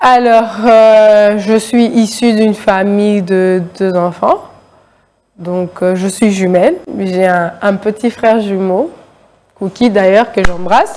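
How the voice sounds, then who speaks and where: A woman's very slow delivery, medium in pitch with ordinary variation and a dark, mellow tone. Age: young. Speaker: writer. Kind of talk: interview. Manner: hesitant with many fillers.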